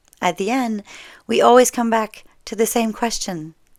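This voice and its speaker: In a very clean recording with a silent background, a woman speaks in a relaxed tone with a French Canadian accent. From French Canada. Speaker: storyteller. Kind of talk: casual talk to camera. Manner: relaxed, conversational, with hesitations.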